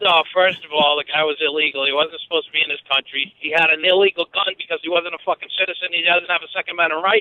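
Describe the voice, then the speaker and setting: An angry man with a Boston accent, very fast with hardly any pauses, high-pitched for a man, his intonation fairly even. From Boston area, Massachusetts. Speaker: caller. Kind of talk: call-in rant. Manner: angry, emphatic.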